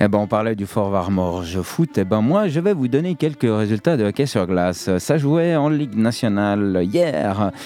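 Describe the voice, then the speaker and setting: A man speaks at a fairly slow pace with hardly any pauses, his loudness very even and his tone dark and mellow. His pitch is fairly low yet swings very widely. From French-speaking Switzerland (Morges). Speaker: radio host and sound engineer. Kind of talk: radio show hosting. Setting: studio.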